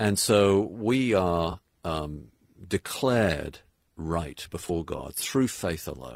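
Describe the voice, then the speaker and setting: A man's very deep, low voice with a British accent, very slow and with lively intonation, on a very clean recording with a silent background. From England. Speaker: pastor and author. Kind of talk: radio interview. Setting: home studio.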